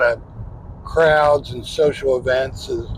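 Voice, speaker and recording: Noticeable background noise runs under the recording. A man speaks with an American accent. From US Midwest, northeastern Ohio. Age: 60s. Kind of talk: interview testimony.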